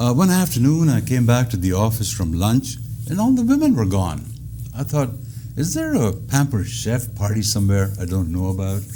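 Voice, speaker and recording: Noticeable background noise and audible room echo surround a man speaking at a moderate pace. His medium pitch carries lively intonation. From India. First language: Indian language. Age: 70s. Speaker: comedian. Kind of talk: stand-up comedy routine in an interview. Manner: hesitant with frequent uh fillers.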